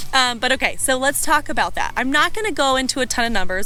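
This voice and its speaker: Against noticeable background noise, a woman talks at a very fast pace in a high pitch with very wide pitch swings. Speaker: real estate channel co-host. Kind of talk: casual chat.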